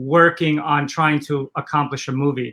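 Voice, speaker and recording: The tone is bright and sharp, and the intonation is monotone and flat. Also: man. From Poland, moved to Los Angeles at 11. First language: Polish. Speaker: entrepreneur, former film maker. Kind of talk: interview.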